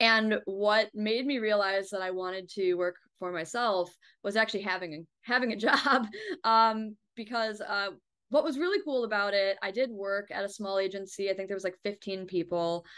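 A woman's moderately paced speech, with ordinary pitch variation, is heard against a quiet background. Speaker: remote interview guest. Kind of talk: interview answer. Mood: friendly, smiling. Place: home room. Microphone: video call.

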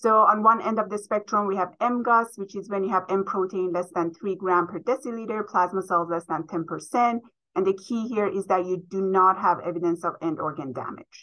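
A woman speaks at a moderate pace, with hardly any pauses. Her pitch varies in an ordinary way, and the background is quiet. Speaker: presenter. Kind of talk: lecture. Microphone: webcam.

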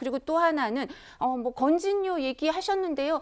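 A woman is speaking. The background is quiet. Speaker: lawyer. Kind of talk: TV political panel discussion. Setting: studio. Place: studio.

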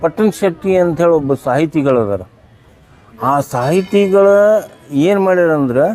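A man talks with a high pitch and lively intonation. His tone is dark and mellow. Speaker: travel vlogger. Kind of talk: vlog narration. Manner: loud.

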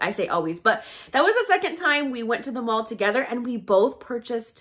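Against a quiet background, a woman with a high voice talks at a moderate pace, her pitch swinging very widely. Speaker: shopping vlogger. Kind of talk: casual vlog chat. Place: home room. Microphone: phone near.

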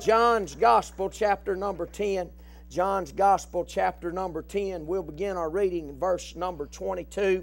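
A man speaks at a fairly slow pace over light background noise. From American South. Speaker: preacher. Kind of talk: revival sermon, plain preaching. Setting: tent revival before a live congregation. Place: church.

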